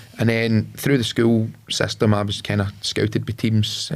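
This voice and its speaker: A man with a Lanarkshire accent. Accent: Scottish (Lanarkshire). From Scotland, Lanarkshire (Carfin near Motherwell). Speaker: entrepreneur, former footballer. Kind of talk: podcast interview. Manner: hesitant, many fillers.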